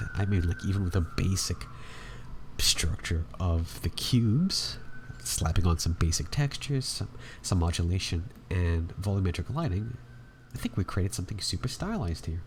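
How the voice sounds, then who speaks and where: A man's very deep, low voice at a moderate pace, with lively intonation and vocal fry. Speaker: 3D art tutorial creator. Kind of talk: tutorial. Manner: casual.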